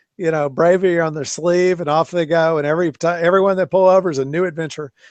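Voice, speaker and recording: A man talks at a very fast pace in a high pitch. His intonation is monotone and flat. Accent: American. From US South, southern Arkansas. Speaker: show host, Navy veteran. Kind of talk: casual chat.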